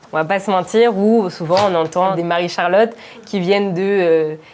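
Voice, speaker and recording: A woman at medium pitch and moderate pace, with ordinary pitch variation and noticeable background noise. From Paris suburbs, Val-de-Marne. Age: 20s. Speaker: entrepreneur, product manager. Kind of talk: casual interview.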